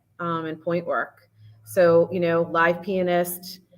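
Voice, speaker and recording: Female speech at a medium pitch, a normal speaking voice delivered at moderate speed. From Massachusetts. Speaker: dance studio owner. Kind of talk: casual chat.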